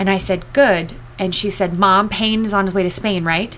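A fairly quick-paced woman with an American accent and medium pitch, heard over noticeable background noise. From US West Coast, Los Angeles. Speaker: addiction recovery outreach worker, former broadcaster. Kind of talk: testimony.

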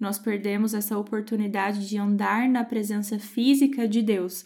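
The tone is dark and mellow. Delivery is fairly slow, with fairly even intonation. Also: woman. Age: 20s. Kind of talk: Bible study talk.

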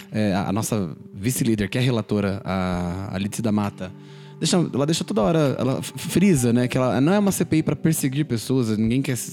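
Backed by music, a man speaks at a moderate pace and a medium pitch with lively intonation. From São Paulo, Brazil. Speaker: political podcast host. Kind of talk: casual political commentary.

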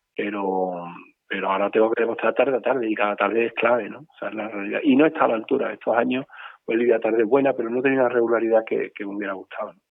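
Talking at a very fast pace, a man keeps his intonation fairly even while his loudness swings widely. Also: medium pitch for a man. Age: 50s. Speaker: bull breeder. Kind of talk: interview. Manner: halting, many repetitions.

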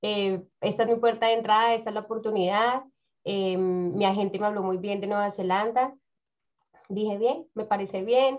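The speaker talks in a Bogotá accent at a moderate pace. The intonation stays fairly even. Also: woman, medium pitch for a woman. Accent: Bogotá Colombian Spanish. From Colombia, Bogotá. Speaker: community organization founder and career coach. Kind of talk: interview.

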